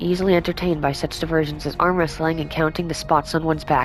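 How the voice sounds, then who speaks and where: Music plays in the background as a woman speaks at a very fast pace. Her very deep, low pitch holds a fairly even intonation. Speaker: let's play gamer. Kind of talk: reading in-game text aloud.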